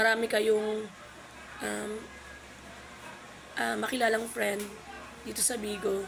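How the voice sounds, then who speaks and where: Over noticeable background noise, a woman speaks at a fairly slow pace in a fairly high pitch with monotone, flat intonation. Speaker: vlogger, live streamer. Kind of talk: casual tutorial vlog. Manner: halting, many fillers.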